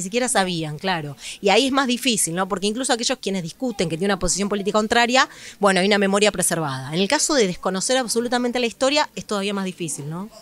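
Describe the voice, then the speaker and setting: A woman's very fast, medium-pitched speech with lively intonation. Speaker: author and history researcher; history teacher. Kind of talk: interview answer.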